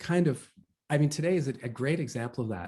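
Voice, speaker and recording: A man with a Canadian accent speaks in a dark, mellow, somewhat breathy tone with lively intonation. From Western Canada (Vancouver and Calgary). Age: 40s. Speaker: author. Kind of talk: interview. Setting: video call. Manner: hesitant, many fillers.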